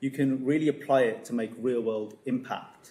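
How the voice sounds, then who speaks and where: A fairly high-pitched man's voice with a dark, mellow tone, ordinary pitch variation and a moderate pace. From West Midlands, England (Dudley). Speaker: PhD student, chemistry researcher. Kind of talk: conference talk to school students. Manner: hesitant, many fillers.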